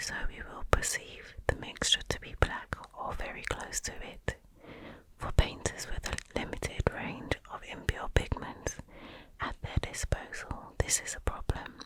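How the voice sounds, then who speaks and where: Whispering at a fairly slow pace, with big swings in loudness over noticeable background noise. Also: woman. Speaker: ASMR creator. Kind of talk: ASMR bedtime book reading. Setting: close-up microphone, headphones recommended. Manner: whispered, soft-spoken.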